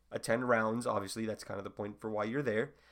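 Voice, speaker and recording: Recorded very cleanly against a silent background, a man speaks at a medium pitch with fairly even intonation. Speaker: medical student podcast host. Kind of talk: casual solo explainer monologue. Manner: fast.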